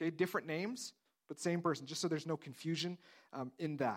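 Delivered at a fairly quick pace, the speech comes through on a very clean recording with a silent background. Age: 30s. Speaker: pastor. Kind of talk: sermon.

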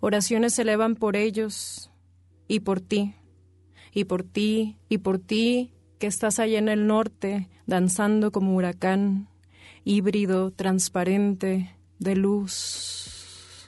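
Against a quiet background, a woman talks at a very slow pace in a dark, mellow, intense tone with monotone, flat intonation. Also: medium pitch for a woman. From Tijuana, northern Mexico. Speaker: spoken word poet. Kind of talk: spoken word poetry performance, reading own verse aloud. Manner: intense, incantatory, rhythmic, with repetition.

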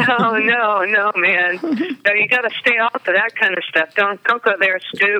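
In an unremarkable speaking voice, a woman with an American accent talks at a fairly high pitch and a fairly slow pace, with ordinary pitch variation. She keeps a very even loudness with hardly any pauses. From South Carolina coast (Charleston area). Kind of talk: casual chat.

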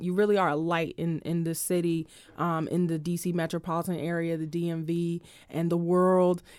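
Her voice sits at a fairly low pitch. The woman is heard in a very clean recording with a silent background. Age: 20s. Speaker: radio host. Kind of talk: casual interview. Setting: radio studio. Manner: enthusiastic.

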